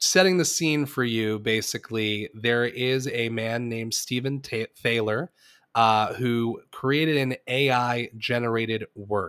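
Heard in a dry, close sound with no echo, a man has an ordinary speaking voice, a medium pitch and ordinary pitch variation. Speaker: podcast host. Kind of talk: casual chat. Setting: remote recording.

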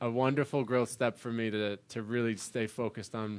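A man with a plain, everyday voice and fairly low pitch talks at a fairly quick pace with fairly even intonation. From New York. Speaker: podcast host and musician. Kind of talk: casual interview chat. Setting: video call.

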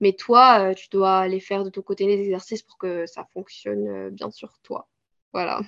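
A woman talks at a fairly slow pace, her loudness swinging widely. The sound is dry and close, with no echo. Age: 20s. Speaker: sophrologist and content creator. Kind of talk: interview. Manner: halting, many hesitations.

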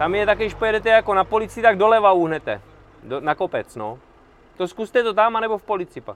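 Very fast speech from a man with a high voice and ordinary pitch variation. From Czech Republic. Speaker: veteran rock climber. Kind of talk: casual interview.

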